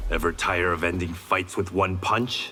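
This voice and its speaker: A man puts on a character voice with a very deep, low pitch. His intonation is monotone and flat over clear background noise. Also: moderate pace. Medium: video game. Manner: relaxed, wry.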